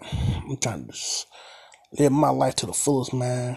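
Vocal fry runs through this man's medium-pitched voice. His intonation is lively and his pace moderate. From Baltimore, Maryland. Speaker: podcast host. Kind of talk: casual solo podcast monologue. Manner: halting, stumbling, repeats words; informal, conversational.

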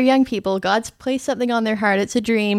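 A woman's plain, everyday voice at a fairly high pitch, with ordinary pitch variation. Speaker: podcast host. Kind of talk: casual interview. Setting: studio.

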